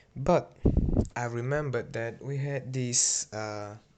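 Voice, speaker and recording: A man talks at a very slow pace with a non-native accent. His intonation stays fairly even. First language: not English. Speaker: hobbyist YouTuber. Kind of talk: video narration. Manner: halting, many fillers.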